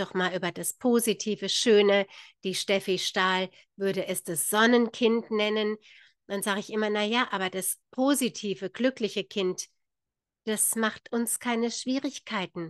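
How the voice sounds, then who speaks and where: A woman speaks at a fairly slow pace with fairly even intonation, in a dry sound with no echo over a quiet background. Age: 50s. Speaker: spiritual author and channel host; spiritual coach. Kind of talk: casual vlog monologue; guided meditation. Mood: warm, calm. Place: home room. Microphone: studio mic.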